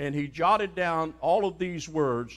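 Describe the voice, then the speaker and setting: Speaking at a fairly slow pace, a man with an American accent has a fairly high pitch. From US Mid-Atlantic, Sussex County, Delaware; Delaware. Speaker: pastor. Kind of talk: sermon. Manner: animated. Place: church.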